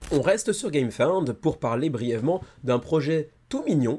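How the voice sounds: A man uses a put-on character voice, hoarse and fairly high in pitch. It moves at a moderate pace with lively intonation.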